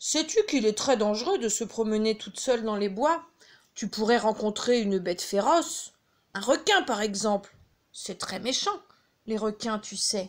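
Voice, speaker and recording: A woman's put-on character voice, gruff and fairly high, at a moderate pace. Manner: falsely friendly.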